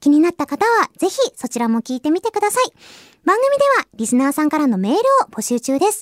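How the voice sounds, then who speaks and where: A woman talks very fast at a high pitch with very wide pitch swings, in a dry, close sound with no echo. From Japan, Hiroshima. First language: Japanese. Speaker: voice actress and radio host. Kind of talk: casual radio talk. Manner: halting in English.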